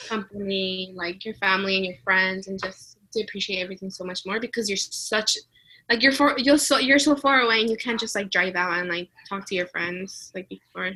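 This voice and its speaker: A woman's medium-pitched voice with a Spanish accent, bright and sharp in tone, at a fairly quick pace with ordinary pitch variation. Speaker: student exchange alum. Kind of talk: interview. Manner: casual, filler-heavy.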